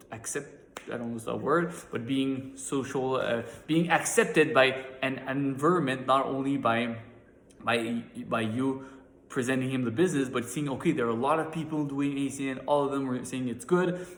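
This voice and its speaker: A man speaks at a moderate pace with a medium pitch and ordinary pitch variation, and audible room echo surrounds his voice. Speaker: network marketing team leader. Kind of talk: motivational training talk. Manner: halting with repetitions.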